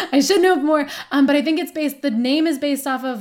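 There is no background sound, and the recording is very clean. The woman talks with an American accent. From Detroit suburbs, Michigan. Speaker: guest, Red Wings fan. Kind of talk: casual interview chat.

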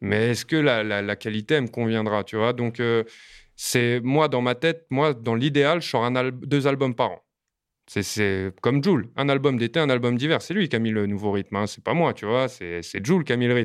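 A man talks at a moderate pace. His medium-pitched voice has ordinary pitch variation. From France, Montreuil (Paris suburbs). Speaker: rapper. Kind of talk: casual interview. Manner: hesitant with frequent fillers and repetitions.

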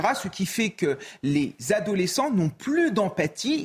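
There is noticeable background noise behind this man. His pitch is high and swings very widely. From France, Ardennes. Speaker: teacher and TV pundit. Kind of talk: TV panel debate.

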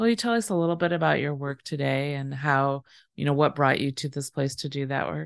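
A woman with an American accent speaks at a fairly quick pace in a very deep, low voice with lively intonation, recorded dry and close with no echo against a quiet background. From Seattle, Washington. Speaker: podcast host interviewer. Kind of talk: interview.

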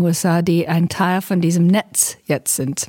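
A woman speaks in an English accent at a moderate pace. Her tone is dark and mellow. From United States. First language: English (speaking German). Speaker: diplomat, podcast host. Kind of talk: interview.

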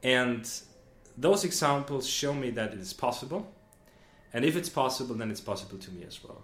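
Audible room echo surrounds a man speaking fairly quickly at medium pitch with lively intonation, big swings in loudness and long, frequent pauses. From Austria, Vienna. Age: 20s. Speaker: management consultant. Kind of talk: casual interview. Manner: hesitant, many fillers.

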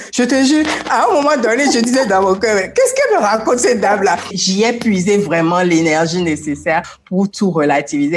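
Energetic and fairly quick, a woman at medium pitch speaks with very wide pitch swings against noticeable background noise. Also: hardly any pauses, very even loudness. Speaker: motivational coach. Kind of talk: interview.

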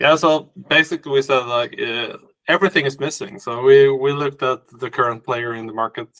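A man with a Swedish accent, fairly quick in pace and fairly high in pitch, with ordinary pitch variation and a dry, close sound free of echo. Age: 40s. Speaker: company CEO. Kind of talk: interview.

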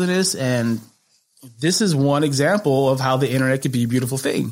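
Here a man speaks with an American accent. His pace is fairly quick and his intonation lively. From Chicago, US Midwest. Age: 30s. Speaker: comedian and TV personality. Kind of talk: casual chat.

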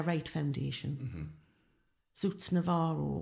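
Her voice has vocal fry and lively intonation. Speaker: former club singer, ex-tax worker. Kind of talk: casual interview.

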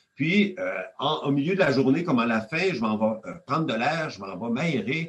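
Speaking at a moderate pace, a man has a fairly high pitch and very wide pitch swings. His voice is somewhat breathy. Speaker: economics professor. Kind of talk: interview. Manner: halting.

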